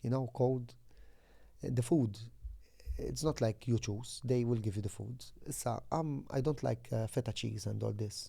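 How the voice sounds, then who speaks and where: A man speaks at medium pitch in a dark, mellow, somewhat breathy tone. His pace is moderate and his pitch variation ordinary. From Malta, Floriana. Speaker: former football goalkeeper. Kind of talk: interview. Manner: halting.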